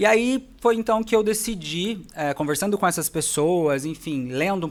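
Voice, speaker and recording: Very clean and silent in the background, the recording holds a man with an ordinary speaking voice and lively intonation. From Brazil, interior of São Paulo state. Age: 20s. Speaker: dentist and facial aesthetics specialist. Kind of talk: podcast interview.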